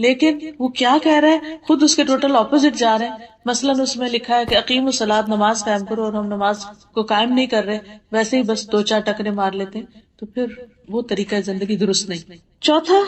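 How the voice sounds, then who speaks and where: Pitched fairly high with ordinary pitch variation, a woman talks in a plain, everyday voice. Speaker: Islamic scholar giving a lecture. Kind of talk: religious lecture to an audience.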